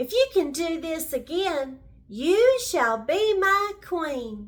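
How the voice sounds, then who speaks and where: A woman in a put-on character voice, squeaky and extremely high-pitched, with very wide pitch swings and a very slow pace. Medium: read story. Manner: commanding.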